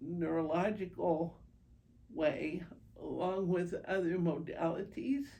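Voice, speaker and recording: A very slow woman's voice with a dark, mellow tone, ordinary pitch variation, and audible room echo. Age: 70s. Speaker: patient with multiple sclerosis. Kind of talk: interview testimony. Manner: hesitant, many fillers.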